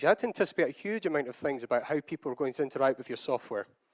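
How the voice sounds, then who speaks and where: A man speaks in a Scottish accent with lively intonation. The sound is dry and close, with no echo. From Scotland. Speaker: agile consultant and conference speaker. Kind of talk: conference talk.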